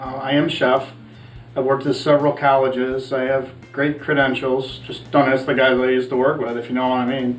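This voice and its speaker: Speaking at a fairly quick clip in a flat monotone, the voice carries audible room echo over music in the background. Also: man, medium pitch for a man. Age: 60s. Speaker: cooking show host, chef in recovery. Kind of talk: casual cooking show talk.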